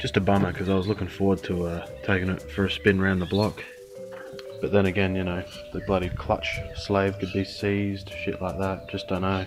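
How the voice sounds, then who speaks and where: With music in the background, a man in an Australian accent speaks at a moderate pace. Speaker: car restorer, auto parts dismantler. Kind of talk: casual talk to camera. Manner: casual, sweary.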